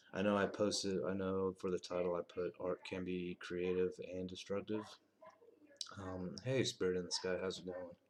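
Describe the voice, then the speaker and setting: A soft-spoken man with a very deep, low pitch, monotone, flat intonation and a moderate pace. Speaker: veteran streamer. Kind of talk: casual live stream chat. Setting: live stream at night.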